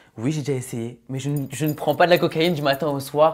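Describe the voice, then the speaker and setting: Against a quiet background, a man with a fairly high pitch talks at a fairly quick pace. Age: 20s. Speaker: reality TV contestant; interview guest. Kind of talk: interview. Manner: animated. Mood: defensive, insistent. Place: studio. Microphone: lapel.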